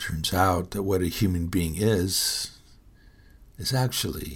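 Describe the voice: With an American accent, a man speaks in a low voice that carries a slightly husky edge.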